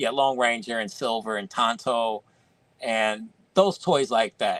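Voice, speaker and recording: A man with an ordinary speaking voice talks fairly slowly at a medium pitch with lively intonation. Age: 50s. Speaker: toy collector and video creator. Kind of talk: casual chat. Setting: live stream.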